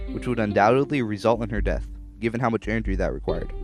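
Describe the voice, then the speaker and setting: A man rattles off his words very fast while music plays behind him. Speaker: podcast host and storyteller. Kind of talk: read story. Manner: mumbling.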